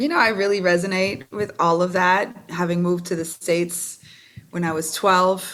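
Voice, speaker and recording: A woman with a fairly low pitch, fairly even intonation, a moderate pace and a plain, everyday voice. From Canada. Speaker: singer-songwriter and Reiki instructor. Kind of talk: interview.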